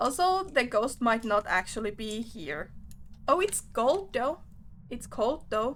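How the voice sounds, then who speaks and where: Very slowly and with a high pitch, a woman with a non-native accent talks in very wide pitch swings. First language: not English. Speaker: game streamer. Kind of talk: casual chat while livestreaming a game.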